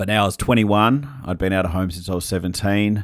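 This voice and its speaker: The recording is very clean with a silent background. A man speaks at a moderate pace with fairly even intonation. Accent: Australian. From Western Australia (Perth). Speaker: pastor and author, former addict. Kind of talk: interview testimony. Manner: halting, with many fillers.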